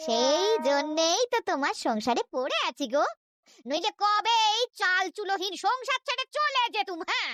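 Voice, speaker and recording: An extremely high, female-sounding cartoonish character voice with very wide pitch swings at a fairly slow pace. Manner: homely, affectionate, sprinkled with "go".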